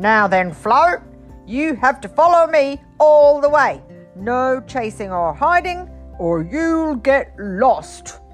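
At a high pitch and a very slow pace, a put-on character voice speaks over faint music in the background. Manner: serious, stern.

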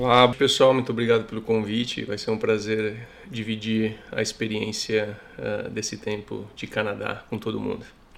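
Speaking at a moderate pace with hardly any pauses, a man with a fairly low pitch keeps a flat, monotone intonation over noticeable background noise. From Brazil, São Paulo. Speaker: immigrant interviewee. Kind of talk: casual interview.

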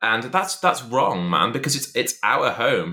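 A man's medium-pitched voice, bright and sharp in tone, with very wide pitch swings at a moderate pace. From England, Shropshire. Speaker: podcast guest, host's old friend. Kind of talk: casual chat.

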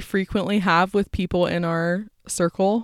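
A woman with an American accent, medium-pitched, in a normal speaking voice at a fairly slow pace, with a dry, close sound and no echo. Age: 20s. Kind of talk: casual chat. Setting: recording at home.

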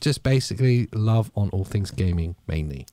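A man's voice has a dark, mellow tone and lively intonation. The sound is dry and close, with no echo. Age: 30s. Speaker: gaming podcast host. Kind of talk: casual chat. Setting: live stream.

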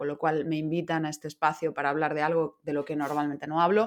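A woman talks in a very deep, low voice, the background quiet around her. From Madrid, Spain. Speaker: business consultant and podcaster. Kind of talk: interview.

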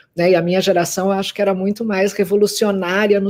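The woman's tone is dark and mellow. She speaks at a moderate pace. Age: 50s. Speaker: journalist and research executive. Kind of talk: webinar panel discussion. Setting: live video webinar.

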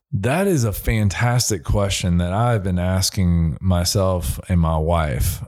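With an American accent, a man speaks very slowly in a very deep, low pitch and lively intonation. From southern Indiana, US. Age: 30s. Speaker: professional musician. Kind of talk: casual interview chat.

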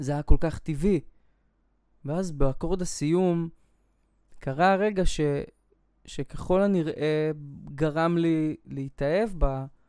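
Very slowly and with long, frequent pauses, a man speaks at a fairly high pitch. His tone is dark and mellow, and his intonation stays fairly even. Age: 20s. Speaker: podcast host. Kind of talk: personal monologue. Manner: hesitant, with filler sounds.

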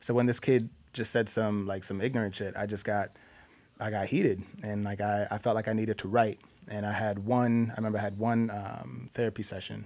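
This man has an ordinary speaking voice with an American accent and a fairly low pitch. He moves at a fairly quick pace with fairly even intonation. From Minnesota. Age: 20s. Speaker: writer. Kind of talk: casual chat.

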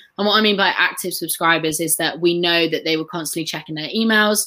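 A woman with a fairly low pitch and a bright, sharp tone speaks with ordinary pitch variation. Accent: English. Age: 20s. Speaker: former sales consultant. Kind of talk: online live training. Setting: live video stream.

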